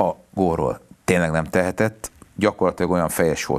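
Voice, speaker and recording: Against a quiet background, a man with a very deep, low pitch speaks at a fairly quick pace. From Hungary. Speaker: lawyer and former football federation spokesman. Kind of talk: casual interview chat about football. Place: studio. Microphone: lapel.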